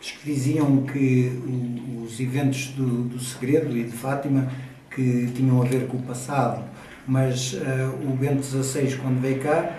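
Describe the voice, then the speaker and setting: A man with a medium-pitched voice speaks at a fairly slow pace. His intonation is monotone and flat, with noticeable background noise behind him. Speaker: interpreter. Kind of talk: interview translation.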